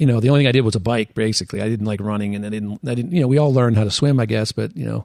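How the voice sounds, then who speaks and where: With an American accent, a man talks very fast with hardly any pauses. His pitch is medium, and its variation ordinary. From western Pennsylvania. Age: 60s. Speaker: orthopedic surgeon and amateur triathlete. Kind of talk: podcast interview.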